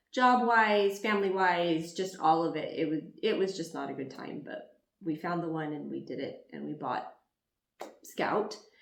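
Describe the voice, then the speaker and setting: There is audible room echo as a woman speaks at a moderate pace with big swings in loudness. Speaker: YouTuber. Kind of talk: casual chat. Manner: quiet.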